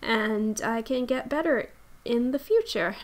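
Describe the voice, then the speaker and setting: Mumbling at a very slow pace, a woman speaks with ordinary pitch variation on a very clean recording with a silent background. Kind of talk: Sims 4 speed build commentary. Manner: hesitant, stuttering, mumbling.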